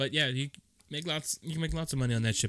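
The recording is very clean, with a silent background and a dry, close sound with no echo. A man speaks at medium pitch with fairly even intonation. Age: 30s. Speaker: podcast co-host. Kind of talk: casual chat.

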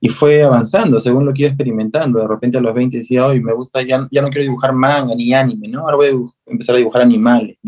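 This man's voice is medium in pitch and his delivery very fast. The intonation holds fairly even throughout. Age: 30s. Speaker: visual artist and activist. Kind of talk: interview.

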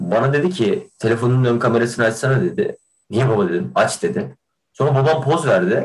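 His pitch swings very widely while his loudness stays very even, and this man talks at a fairly quick pace with vocal fry. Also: medium pitch for a man. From Kahramanmaraş, Turkey. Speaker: theatre student podcaster. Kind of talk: casual chat. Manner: animated.

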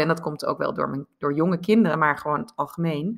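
A woman's bright, sharp tone at a moderate pace. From Netherlands. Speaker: life coach. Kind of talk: interview.

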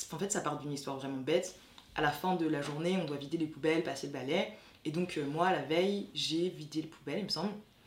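A woman with a very deep, low voice talks at a very fast pace. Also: ordinary pitch variation. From France. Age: 20s. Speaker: graduate student. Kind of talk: testimony.

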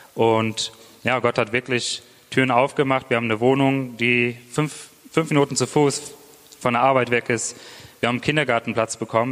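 Noticeable background noise behind a man's monotone, flat intonation. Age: 20s. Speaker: church planter. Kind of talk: testimony. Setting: church.

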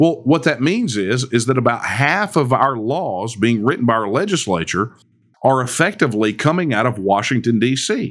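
With lively intonation and a moderate pace, a man with a Texan accent speaks at medium pitch in a very clean recording with a silent background. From Texas. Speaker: political movement leader. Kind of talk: interview.

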